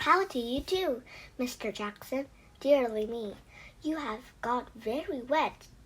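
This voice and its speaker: A woman speaks in a put-on character voice pitched high. Her pace is fairly slow. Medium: read story. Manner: prim, fussy.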